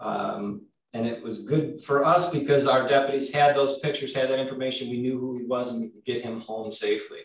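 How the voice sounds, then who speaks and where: This is a man with an ordinary speaking voice, medium in pitch, talking at a fairly quick pace with fairly even intonation. His loudness swings widely. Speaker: law enforcement officer. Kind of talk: panel discussion.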